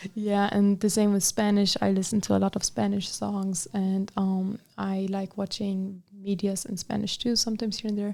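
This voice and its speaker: At a moderate pace and with hardly any pauses, the speaker uses an Arabic accent, a dark, mellow tone and monotone, flat intonation. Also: woman, medium pitch for a woman. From Germany, Bavaria (Allgäu, near Munich). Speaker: student association officer, college student. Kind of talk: interview. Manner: halting.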